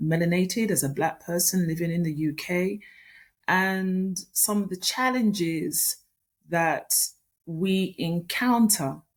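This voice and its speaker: A woman with a British accent and ordinary pitch variation, on a very clean recording with a silent background. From UK, Jamaican heritage. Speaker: author and business consultant. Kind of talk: interview.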